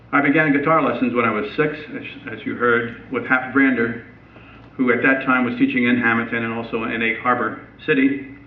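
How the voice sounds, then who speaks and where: In an American accent, this voice speaks at a moderate pace with monotone, flat intonation, amid noticeable background noise and audible room echo. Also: man, medium pitch for a man. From southern New Jersey. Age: 70s. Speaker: retired high school band director. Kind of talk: public talk. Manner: halting, many fillers.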